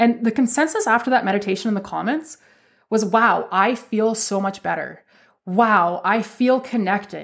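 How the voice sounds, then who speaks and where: This is a normal speaking voice with a Canadian accent. It moves at a moderate pace with lively intonation. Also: woman. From Canada. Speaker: spiritual podcast host. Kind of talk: solo podcast monologue.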